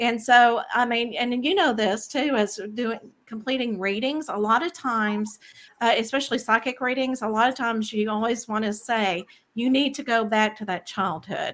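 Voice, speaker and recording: In a very clean recording with a silent background, a woman with a Texan accent speaks at a moderate pace with a fairly high pitch and ordinary pitch variation. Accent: Texan American. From Texas. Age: 50s. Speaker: spiritual medium and author. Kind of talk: interview.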